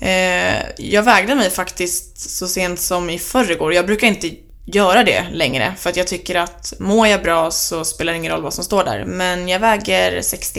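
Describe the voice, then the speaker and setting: Hardly any pauses break this woman's speech. She keeps a moderate pace. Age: 20s. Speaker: student and podcaster on eating disorders. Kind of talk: interview.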